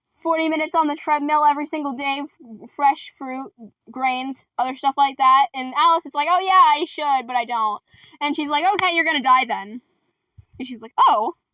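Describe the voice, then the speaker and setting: A woman with a high pitch and a bright, sharp tone speaks in a raised, projected, animated voice, with ordinary pitch variation, big swings in loudness, and a dry, close sound with no echo. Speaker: youtuber recapping a musical. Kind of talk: casual vlog storytelling. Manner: fast.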